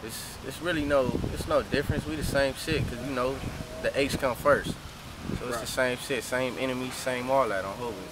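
With an American accent, a man of medium pitch speaks at a fairly quick pace, the sound dry with no echo and noticeable background noise. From South Central Los Angeles. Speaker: rapper. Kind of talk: casual street interview. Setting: outdoors walking on street. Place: street.

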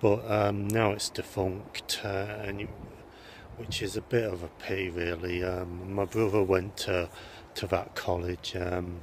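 Against light background noise and with a dry sound, no echo, a man speaks fairly slowly in a very deep, low, somewhat breathy voice with monotone, flat intonation. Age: 40s. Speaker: vlogger. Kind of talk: casual vlog talk to camera. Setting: outdoors. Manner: hesitant, many filler sounds. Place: open country. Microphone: phone near.

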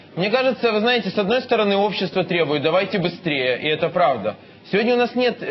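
The man talks at a very fast pace. His pitch is high, with ordinary variation. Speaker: politician. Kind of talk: heated debate.

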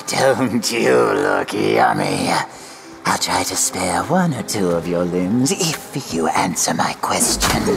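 A man speaks slowly in a put-on character voice, at a fairly slow pace. Clear background noise runs behind him. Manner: creepy, menacing, teasing.

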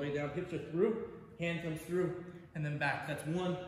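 Light background noise and audible room echo surround a man speaking very fast at a high pitch. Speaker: fitness coach. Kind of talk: tutorial. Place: gym. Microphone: camera far.

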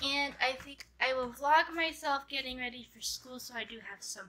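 In a raised, projected voice, a woman speaks at a fairly slow pace with a high pitch and a bright, sharp tone. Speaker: vlogger. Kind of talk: casual vlog. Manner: hesitant, many fillers. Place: home room. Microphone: phone near.

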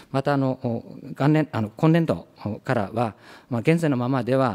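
The voice has a dark, mellow tone, a moderate pace and ordinary pitch variation. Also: man. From Japan. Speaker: government official. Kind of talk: formal parliamentary answer. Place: meeting room. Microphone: podium.

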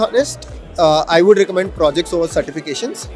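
Over clear music in the background, the voice moves at a fairly quick pace with ordinary pitch variation and a dry sound with no echo. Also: man. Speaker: interviewee, educator. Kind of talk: interview answer. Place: hall. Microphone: handheld.

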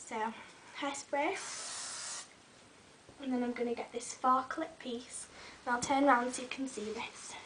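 A woman's high-pitched voice with fairly even intonation, long and frequent pauses, and noticeable background noise. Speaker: beauty vlogger. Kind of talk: tutorial. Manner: casual, friendly.

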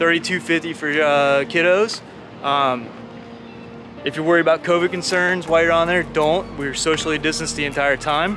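The man holds a moderate pace and fairly even intonation while noticeable background noise carries through. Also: dry sound with no echo. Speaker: travel vlogger. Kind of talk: casual vlog chat. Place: waterside. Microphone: phone near.

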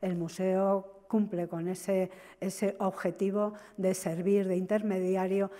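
Against a quiet background, a woman speaks at a fairly slow pace. Her medium-pitched voice has a dark, mellow tone. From Spain. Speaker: museum deputy director; conference speaker. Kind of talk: conference talk. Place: hall.

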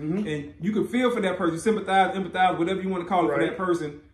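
Speech comes at a very fast pace with fairly even intonation, and audible room echo surrounds it. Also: man. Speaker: podcast co-host. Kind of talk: casual podcast discussion. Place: home room.

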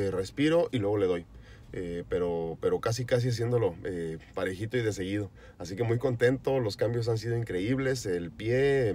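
A man's dark, mellow tone in a dry sound with no echo, over light background noise. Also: ordinary pitch variation, moderate pace. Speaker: vlogger on a fitness journey. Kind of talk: casual vlog chat. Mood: upbeat, grateful. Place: car. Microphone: phone near.

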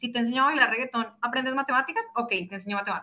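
Speaking in a Bogotá accent, a woman uses a fairly high pitch with ordinary pitch variation. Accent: Colombian, Bogotá. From Bogotá, Colombia. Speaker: startup co-founder. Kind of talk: webinar presentation. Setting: video call. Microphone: video call.

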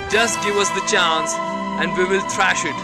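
Loud music plays in the background. A man speaks at a moderate pace, and the sound is dry with no echo. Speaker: narrator filming. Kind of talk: commentary. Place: open country.

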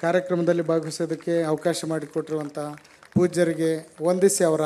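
Against noticeable background noise, a man talks in a high pitch with monotone, flat intonation. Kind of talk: speech at a religious event. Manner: formal.

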